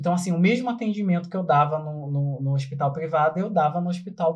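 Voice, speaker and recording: A man talks at a fairly quick pace. His voice is high in pitch with ordinary pitch variation. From Brazil, São Gonçalo (Rio de Janeiro state). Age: 30s. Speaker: motivational speaker and health worker. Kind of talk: casual podcast interview.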